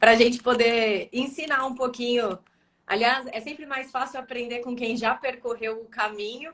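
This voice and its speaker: A woman with a high voice speaks at a moderate pace and fairly even intonation. Her loudness swings widely. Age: young. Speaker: physician, live show host. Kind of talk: live interview. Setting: online live stream.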